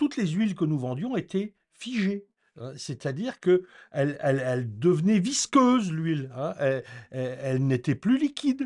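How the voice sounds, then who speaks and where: With very wide pitch swings, a man talks at a moderate pace and a fairly high pitch against a quiet background. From France, Normandy (rural). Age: 60s. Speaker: eco-renovation educator. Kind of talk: informal explanatory talk. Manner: hesitant, many fillers.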